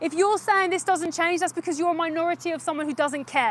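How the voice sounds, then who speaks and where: A woman speaks loudly and very fast at an extremely high pitch with ordinary pitch variation. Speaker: animal rights activist livestreamer. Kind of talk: live stream street activism. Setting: outdoors outside a slaughterhouse.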